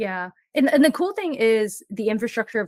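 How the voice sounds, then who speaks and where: With a Mandarin accent, a woman talks at a fairly quick pace, the sound dry and close with no echo. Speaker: full-time travel blogger. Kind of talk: interview.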